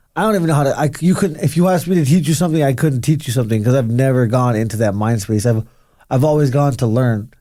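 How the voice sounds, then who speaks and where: Very fast and lively in intonation, a man talks at a medium pitch with a dark, mellow tone. His loudness stays very even, and the recording is very clean with a silent background. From Arizona, USA. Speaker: professional mixed martial artist. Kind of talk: interview answer.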